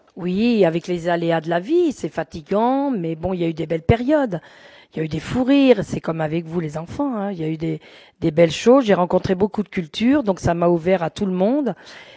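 A woman talks at a fairly quick pace with lively intonation and a dark, mellow tone. The sound is dry and close with no echo, over a quiet background. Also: fairly low pitch for a woman. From central France (Berry, Cher), then Paris region from age 14. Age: 50s. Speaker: building caretaker. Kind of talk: interview. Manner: hesitant, with fillers.

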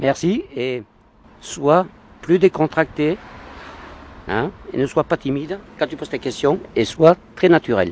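Very slow and marked by long, frequent pauses, a man's fairly high voice carries lively intonation in a dry, close sound with no echo. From Paris. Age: 50s. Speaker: passer-by. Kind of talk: street interview. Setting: outdoors.

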